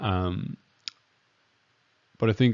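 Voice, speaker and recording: A man with a Danish accent, very deep and low in pitch, at a fairly slow pace with ordinary pitch variation. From Denmark. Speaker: emergency medicine doctor. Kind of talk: lecture. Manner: halting, many fillers.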